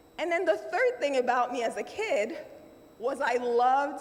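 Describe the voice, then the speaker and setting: The woman's intonation is lively, and there is noticeable background noise behind her. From Nigeria. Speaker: banking executive and summit speaker. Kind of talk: keynote speech.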